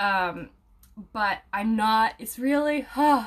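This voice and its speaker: A woman's fairly high voice, somewhat breathy, rises and falls with ordinary pitch variation. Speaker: aromatherapy student and video creator. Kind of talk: casual talk to viewers, live stream with comments. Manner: casual, many fillers.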